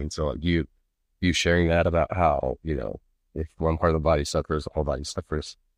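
A man's very deep, low voice with vocal fry and fairly even intonation, in an American accent at a fairly quick pace, dry and close with no echo against a quiet background. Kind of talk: casual chat. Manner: quiet on mic.

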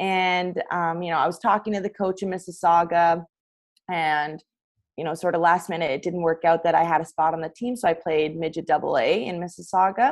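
A woman with a Canadian accent and a plain, everyday voice, fairly low in pitch, fairly even in intonation and fairly quick in pace, against a quiet background. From Ontario, Canada. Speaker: college hockey player. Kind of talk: casual interview.

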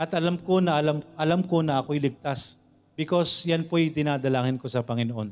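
A man talks at a fairly quick pace in a normal speaking voice. His pitch is fairly high and varies in an ordinary way. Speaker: preacher. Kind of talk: sermon.

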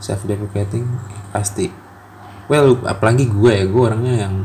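Noticeable background noise is present. A man's speech comes fairly slowly, with fairly even intonation. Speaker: solo podcaster. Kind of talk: personal monologue. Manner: halting, many pauses and fillers. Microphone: quiet recording.

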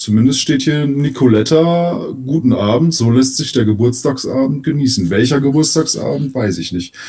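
Amid noticeable background noise, a man of medium pitch speaks at a moderate pace with ordinary pitch variation and hardly any pauses. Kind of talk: casual chat.

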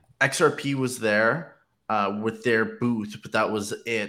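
This man has a plain, everyday voice, speaking at a medium pitch and a fairly slow pace with fairly even intonation. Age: 20s. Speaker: podcast co-host. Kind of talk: casual chat.

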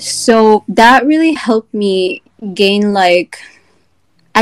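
Heard in a dry, close sound with no echo, a woman speaks in a normal speaking voice at a medium pitch with ordinary pitch variation. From Egypt, partly raised in Virginia, US. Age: 20s. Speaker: small business owner, candle brand founder. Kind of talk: casual chat.

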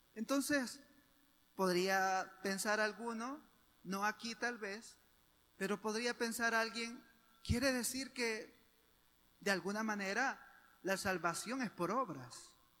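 A high-pitched man projects a raised voice with a bright, sharp tone, speaking very slowly with ordinary pitch variation and long, frequent pauses. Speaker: preacher. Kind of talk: sermon. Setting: church. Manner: fervent, persuasive pulpit delivery; earnest, didactic, rising intensity.

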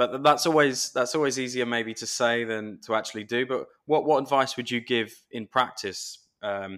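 A man with an English accent, bright, sharp tone and moderate pace, on a very clean recording with a silent background. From England. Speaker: podcast host. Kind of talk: interview.

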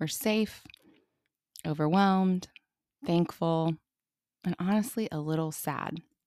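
A soft-spoken woman with an American accent has a dark, mellow tone and a fairly low pitch. Her pitch variation is ordinary, and she leaves long, frequent pauses. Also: fairly slow pace. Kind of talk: Bible study teaching.

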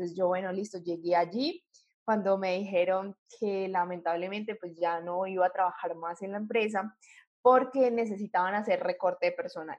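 A woman speaks with a medium pitch and fairly even intonation. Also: moderate pace. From Colombia, Popayán. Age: 20s. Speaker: electronic engineer and digital entrepreneur. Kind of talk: interview testimony.

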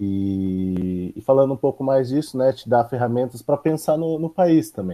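An ordinary speaking voice moves at a moderate pace with lively intonation and hardly any pauses. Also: man, medium pitch for a man. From São Paulo state, Brazil (São José dos Campos). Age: 20s. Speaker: university economics student. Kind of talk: casual interview.

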